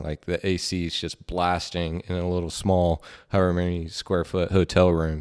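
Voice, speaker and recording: With a Southern US accent, a man speaks at a very deep, low pitch in a monotone, flat intonation, in a very clean recording with a silent background. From Georgia and Tennessee. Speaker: professional baseball player. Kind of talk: casual chat.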